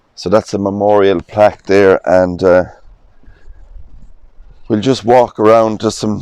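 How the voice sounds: A man talks at a fairly slow pace and fairly low pitch, with little pitch movement. His tone is clear, smooth and slightly mellow.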